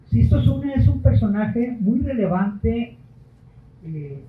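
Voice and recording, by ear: A man speaks with extremely high pitch and lively intonation at a slow pace. Audible room echo hangs around his voice.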